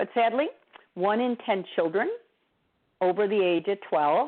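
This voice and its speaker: A woman with a medium-pitched voice speaks at a fairly slow pace, with ordinary pitch variation. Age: 60s. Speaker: therapist and nutrition speaker. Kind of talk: lecture.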